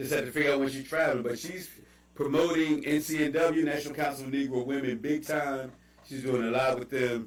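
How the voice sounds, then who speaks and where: A man talks at a fairly quick pace and a fairly high pitch. His intonation is fairly even, with audible room echo. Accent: Baltimore. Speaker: livestream host. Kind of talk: casual chat. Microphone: bad audio.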